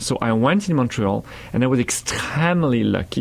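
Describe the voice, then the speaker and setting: A man with a French accent talks at a moderate pace with ordinary pitch variation. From France. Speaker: meditation teacher. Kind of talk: radio interview. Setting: radio studio. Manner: halting.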